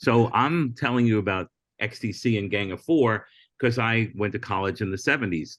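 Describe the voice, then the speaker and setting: Against a quiet background, a man in an ordinary speaking voice talks at a fairly low pitch with ordinary pitch variation. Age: 60s. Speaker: comedian and former late-night talent booker. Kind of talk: casual podcast interview.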